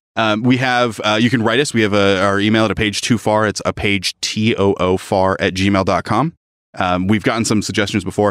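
A normal speaking voice with ordinary pitch variation comes at a fairly quick pace on a very clean recording with a silent background. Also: man. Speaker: podcast co-host. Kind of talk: casual chat.

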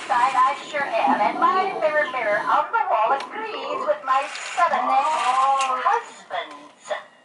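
High-pitched for a woman, a female-sounding voice does a put-on character voice at a fairly slow pace with hardly any pauses. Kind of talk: comic Halloween monologue. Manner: rambling, chatty, cackling, folksy.

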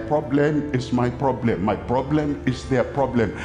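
Over clear music in the background, a man talks at a fairly slow pace. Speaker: preacher. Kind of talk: sermon. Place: stadium. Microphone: headset.

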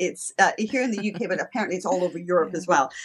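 Against a quiet background, a woman speaks with lively intonation. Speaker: guest. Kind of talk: interview answer. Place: home room. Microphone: video call.

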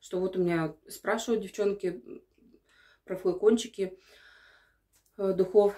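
A woman speaks at a fairly slow pace in a dark, mellow tone against a quiet background. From Sverdlovsk Oblast, Russia. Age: 30s. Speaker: perfume sales partner. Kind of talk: casual talk to camera. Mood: calm, mildly enthusiastic. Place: bathroom. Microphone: phone near.

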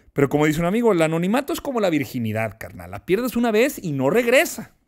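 Against a quiet background, a man with a Mexican accent lets his pitch swing very widely. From Mexico. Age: 30s. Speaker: politician. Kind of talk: interview. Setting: studio. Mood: reflective, calm. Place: studio. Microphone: studio mic.

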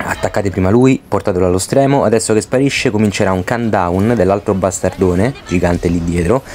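Noticeable background noise runs under a man's speech. His pitch is fairly low and his pace fairly quick. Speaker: gaming youtuber. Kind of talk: gameplay commentary tutorial. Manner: fast; stammering.

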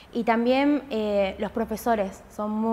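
A woman speaks with a fairly high pitch. Her intonation stays monotone and flat. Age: 20s. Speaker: student in an electrician course. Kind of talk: interview testimony. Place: workshop.

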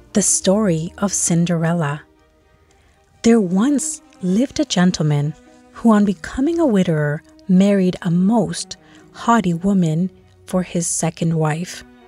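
Against background music, a woman at a medium pitch talks at a fairly slow pace with lively intonation and long, frequent pauses. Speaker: storybook reader. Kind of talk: children's bedtime story read-aloud.

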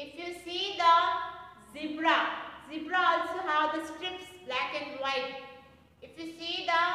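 A woman uses a raised, projected voice with a bright, sharp tone. She speaks at a fairly slow pace, and strong room echo surrounds her. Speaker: school teacher. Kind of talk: lecture. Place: classroom. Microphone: camera far.

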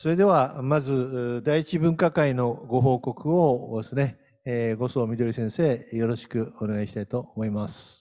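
A man with a dark, mellow tone talks at a fairly slow pace with hardly any pauses. His pitch variation is ordinary, and the background is quiet. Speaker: professor emeritus and moderator. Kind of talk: conference moderation and report. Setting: online conference. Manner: formal. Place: hall. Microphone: handheld.

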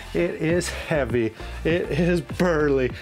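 Clear music sits in the background as a man speaks. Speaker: van builder host. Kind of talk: tutorial. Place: garage. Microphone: lapel.

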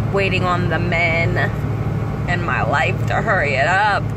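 Loud background noise accompanies a woman's voice. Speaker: parent vlogger. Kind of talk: casual vlog chat. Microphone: phone near.

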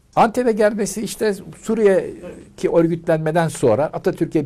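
A man's dark, mellow voice moves at a moderate pace over a quiet background. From Turkey, Ankara. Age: 70s. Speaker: retired translator; interviewee. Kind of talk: interview. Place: home room.

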